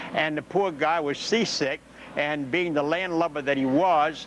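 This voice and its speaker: Over noticeable background noise, a man with an American accent talks at a moderate pace, his pitch fairly high and his intonation fairly even. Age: 70s. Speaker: war veteran. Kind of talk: interview. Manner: halting.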